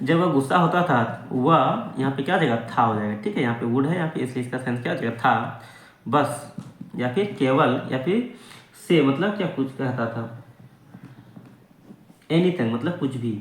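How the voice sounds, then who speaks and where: A man with a medium pitch speaks at a moderate pace and lively intonation. There are long, frequent pauses, and background noise is noticeable. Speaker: English teacher / language learning YouTuber. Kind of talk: English lesson, word-by-word translation and grammar explanation.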